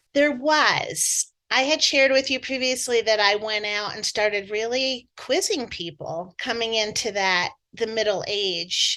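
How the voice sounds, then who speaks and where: A woman talks at a fairly slow pace with hardly any pauses and lively intonation. Her tone is bright and sharp, and her pitch is fairly high. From New Jersey. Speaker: energy healer and author. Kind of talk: interview.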